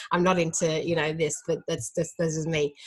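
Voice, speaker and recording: There is noticeable background noise behind this woman as she speaks. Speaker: dietitian. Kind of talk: educational talk. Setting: live stream. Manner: fast; hesitant, many fillers.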